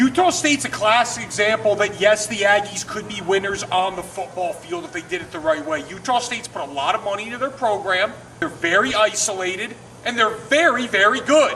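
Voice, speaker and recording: Over noticeable background noise, a man at a high pitch uses a raised, projected voice at a fairly quick pace, with lively intonation and big swings in loudness. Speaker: sports show co-host. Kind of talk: casual sports talk. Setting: outdoors. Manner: animated.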